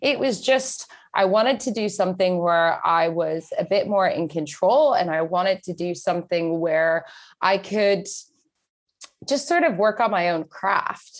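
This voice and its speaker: A woman's ordinary speaking voice, medium-pitched with lively intonation and a fairly slow pace, in a very clean recording with a silent background. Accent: American. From Texas. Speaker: entrepreneur and public speaker. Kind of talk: podcast interview.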